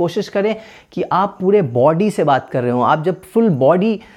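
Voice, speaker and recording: This man talks with ordinary variation in his pitch. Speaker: podcaster. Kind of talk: tutorial.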